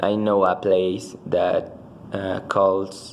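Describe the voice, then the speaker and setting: Amid noticeable background noise and audible room echo, a man with a very deep, low pitch speaks at a very slow pace in a monotone, flat delivery. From Mexico, Mexico City. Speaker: language student. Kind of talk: spoken language exam answers. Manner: halting, many fillers and restarts.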